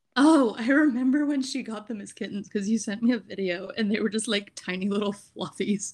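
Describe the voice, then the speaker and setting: A woman speaks at a fairly quick pace with hardly any pauses. Her voice is somewhat breathy. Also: fairly high pitch for a woman, ordinary pitch variation. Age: 20s. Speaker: podcast co-host. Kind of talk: casual chat.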